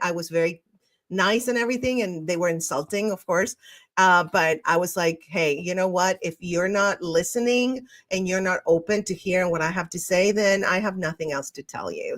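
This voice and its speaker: In an Argentine accent, the speaker goes at a moderate pace with ordinary pitch variation. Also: woman. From Argentina. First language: Spanish. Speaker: podcast host. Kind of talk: solo podcast monologue reading live comments. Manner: animated, sometimes tripping on words.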